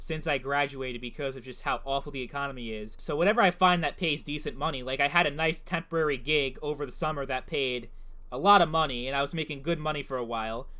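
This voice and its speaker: A man with an American accent, a fairly high pitch, ordinary pitch variation and a very fast pace. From Brooklyn, New York City. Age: 20s. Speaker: gaming YouTuber. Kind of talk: casual Q&A monologue.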